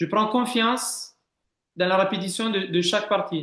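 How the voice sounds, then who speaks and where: Very slowly, a man speaks at a high pitch. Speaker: swimming head coach. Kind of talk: interview answer.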